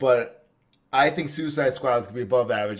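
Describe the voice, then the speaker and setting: A man with a New Jersey accent, medium pitch, ordinary pitch variation and a fairly quick pace. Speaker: podcast host. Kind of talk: casual chat.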